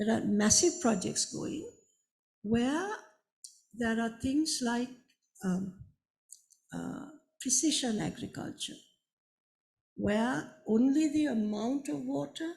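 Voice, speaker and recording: A woman speaks at a very slow pace in a fairly high pitch, her voice making very wide pitch swings and broken by long, frequent pauses. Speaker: conservation scientist. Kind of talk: panel discussion. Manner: halting.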